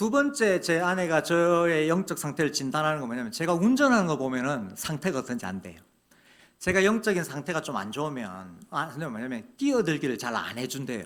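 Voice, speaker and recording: Fairly high in pitch, a man talks at a fairly quick pace with very wide pitch swings. The recording is very clean, with a silent background. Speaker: guest preacher, seminary professor. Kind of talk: sermon. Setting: church. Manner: hesitant, many fillers.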